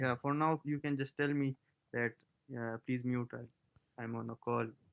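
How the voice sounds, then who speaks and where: A man with a Pakistani accent speaks slowly, fairly so, at a medium pitch in a monotone, flat delivery. The sound is dry and close, with no echo. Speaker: scambaiter. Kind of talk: casual chat.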